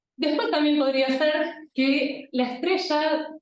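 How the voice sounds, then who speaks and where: A woman with a high voice speaks at a fairly slow pace, with audible room echo. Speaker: astronomer. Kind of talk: lecture.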